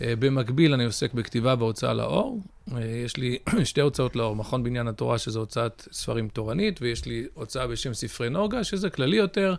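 Using a plain, everyday voice, a man speaks at a medium pitch and moderate pace. His intonation is lively. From Israel (Ra'anana), born in the US. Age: 40s. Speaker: rabbi, author and publisher. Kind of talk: interview conversation.

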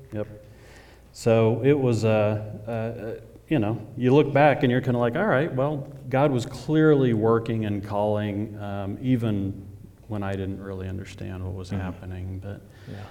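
A man with an American accent has a normal speaking voice, fairly low in pitch with ordinary pitch variation. He talks at a fairly slow pace, with big swings in loudness. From Oklahoma, near Oklahoma City. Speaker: church member. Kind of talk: testimony. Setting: church stage with audience.

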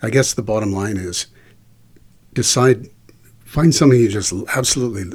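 Somewhat breathy and fairly low-pitched, a man speaks at a moderate pace with lively intonation. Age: 50s. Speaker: voice actor. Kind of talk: interview. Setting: shared handheld microphone.

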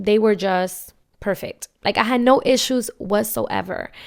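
In a very clean recording with a silent background, a woman with a normal speaking voice talks at a fairly slow pace, her pitch fairly high and its variation ordinary. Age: 20s. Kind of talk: personal storytelling monologue. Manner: casual with many filler ums.

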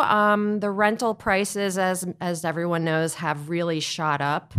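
An unremarkable speaking voice, a woman with an American accent and a fairly low pitch, at a fairly slow pace with ordinary pitch variation. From central New Jersey. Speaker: real estate broker. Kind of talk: interview.

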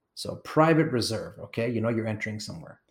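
A man speaks at a medium pitch with ordinary pitch variation and an animated tone, his voice somewhat breathy. The recording is very clean, with a silent background. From Kenya. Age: 40s. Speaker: travel company owner and podcast host. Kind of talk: solo travel narration.

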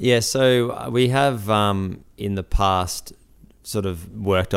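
A man with an Australian accent speaks at a fairly low pitch. His pace is fairly slow. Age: 20s. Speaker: builder and business owner. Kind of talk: interview. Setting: barn workshop. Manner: hesitant, many fillers.

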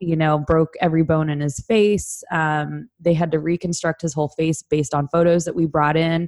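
Delivered at a moderate pace with a Californian accent, the speech has hardly any pauses, fairly even intonation, and a dry, close sound with no echo. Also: woman, very deep, low pitch for a woman. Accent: Californian American English. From Southern California. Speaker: recovering addict sharing her story. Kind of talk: personal testimony interview.

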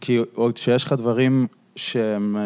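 A man's unremarkable speaking voice at medium pitch, on a very clean recording with a silent background. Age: 30s. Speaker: podcast host. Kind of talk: casual chat.

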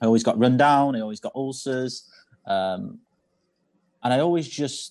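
A man with a northern English accent and ordinary pitch variation against a quiet background. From northern England. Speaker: chef. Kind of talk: interview, personal story.

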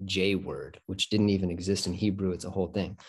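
A man with an American accent has a fairly low pitch and a dark, mellow tone, heard against a quiet background. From Michigan, US Midwest. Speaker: podcast host. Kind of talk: casual chat. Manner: halting.

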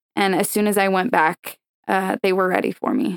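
A woman's plain, everyday voice, medium in pitch, at a moderate pace, with a dry, close sound and no echo. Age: 20s. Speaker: professional cheerleader and dancer. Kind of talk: interview conversation.

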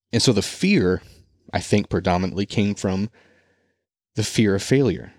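A normal speaking voice with an American accent and ordinary pitch variation. The recording is very clean and dry, close with no echo, over a silent background. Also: man, fairly low pitch for a man, moderate pace. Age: 30s. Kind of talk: monologue sermon-style talk. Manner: informal, conversational, with fillers.

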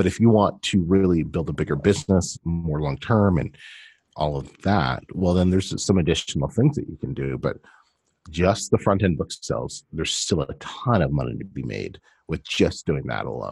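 With a Canadian accent and vocal fry, the voice has lively intonation and a moderate pace, recorded dry and close with no echo. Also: man, very deep, low pitch for a man. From Canada. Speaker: self-publishing coach. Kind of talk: casual interview.

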